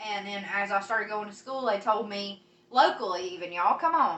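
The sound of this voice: A fairly quick delivery with a Virginia accent, ordinary pitch variation and big swings in loudness. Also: woman, medium pitch for a woman. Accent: rural Virginia, Southern hillbilly.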